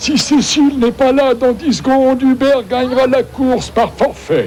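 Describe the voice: Doing a cartoonish character voice at an extremely high pitch, a man speaks at a moderate pace over clear background noise.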